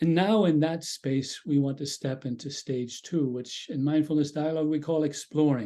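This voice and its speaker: At a moderate pace, a man with an Irish accent speaks in a fairly high pitch with a dark, mellow tone. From Ireland. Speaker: mindfulness dialogue facilitator. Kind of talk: guided group dialogue.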